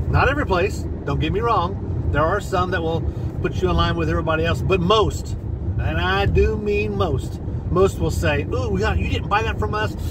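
Loud background noise sits behind a man talking at a moderate pace, the sound dry with no echo. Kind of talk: casual vlog chat. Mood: animated, persuasive. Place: car. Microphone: phone near.

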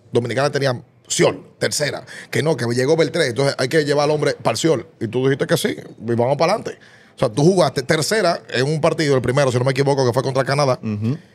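This man speaks at a very fast pace with a fairly high pitch. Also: ordinary pitch variation. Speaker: sports podcast host. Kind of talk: interview question. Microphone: studio mic.

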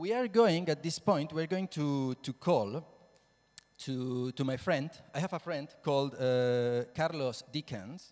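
With a Spanish accent, a man speaks at a slow pace in a fairly high pitch, with a slightly mellow tone and ordinary pitch variation.

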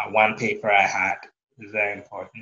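The man in this clip keeps a moderate pace. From Ghana (Kumasi). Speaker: data scientist. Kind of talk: interview. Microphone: video call.

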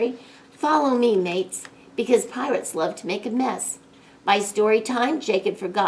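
Someone reads aloud in a plain way.

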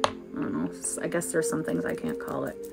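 A woman talks while faint music sounds in the background. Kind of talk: casual livestream tutorial chat. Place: home room. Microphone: phone near.

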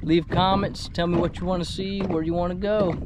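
Over clear background noise, a man speaks at high pitch with little pitch movement. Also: fairly quick pace.

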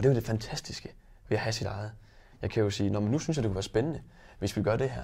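There is vocal fry in this man's dark, mellow voice, which sits at a medium pitch with ordinary pitch variation. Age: 20s. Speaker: wine shop owner and entrepreneur. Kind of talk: interview.

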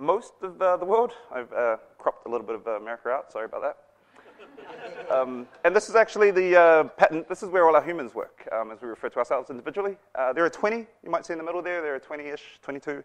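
Very rapid speech from a man, pitched high. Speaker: conference presenter. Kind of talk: conference talk. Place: classroom.

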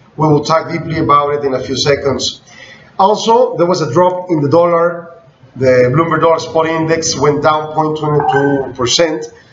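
Speaking with a Spanish accent at a fairly slow pace, the voice keeps a fairly even intonation amid light background noise and audible room echo. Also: man, fairly high pitch for a man. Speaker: business news blogger. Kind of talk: news bulletin. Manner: halting. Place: office. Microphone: webcam.

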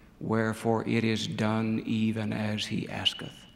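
A fairly low-pitched male voice. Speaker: speaker. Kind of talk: sermon. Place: hall. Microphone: podium.

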